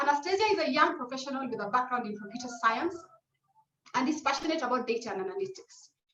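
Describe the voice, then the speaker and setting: A woman talks at a very fast pace in a high voice. Her tone is bright and sharp, her intonation lively. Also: big swings in loudness. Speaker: webinar moderator. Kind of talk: panel webinar introduction.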